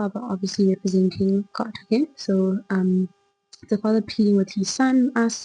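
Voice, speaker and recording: The voice is soft-spoken, at a moderate pace. Music plays in the background. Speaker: Bible study vlogger. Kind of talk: casual devotional talk. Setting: home recording at night.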